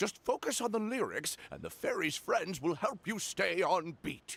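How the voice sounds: In a put-on character voice, a man speaks at a moderate pace and high pitch, with vocal fry, a fairly bright tone, a slightly husky edge and big pitch swings.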